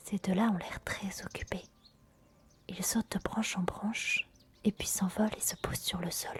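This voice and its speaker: Someone whispers at a fairly slow pace, leaving long, frequent pauses, with noticeable background noise behind. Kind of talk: ASMR nature narration. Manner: soft-spoken.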